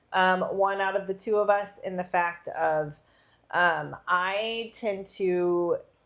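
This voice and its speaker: The voice moves at a very slow pace with monotone, flat intonation. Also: woman, medium pitch for a woman. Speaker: podcast co-host. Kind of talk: casual chat. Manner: loud.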